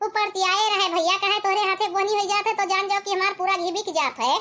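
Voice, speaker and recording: In a squeaky, cartoonish character voice at an extremely high pitch, a woman rattles along at a very fast pace with fairly even intonation and very even loudness. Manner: talkative, bargaining, boastful.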